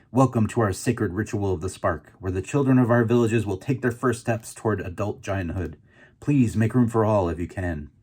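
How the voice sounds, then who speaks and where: On a very clean recording with a silent background, a man does a put-on character voice at a medium pitch and a fairly quick pace. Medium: read story. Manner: pompous, grand.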